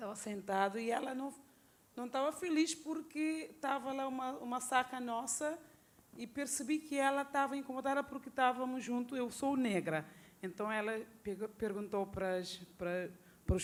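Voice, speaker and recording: A woman at high pitch with lively intonation and a moderate pace. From Cape Verde. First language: Cape Verdean Creole (speaking Portuguese). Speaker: audience member. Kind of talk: Q&A discussion. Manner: halting.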